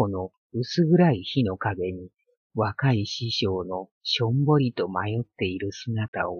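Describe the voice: Against a quiet background, the voice does plain reading aloud with lively intonation.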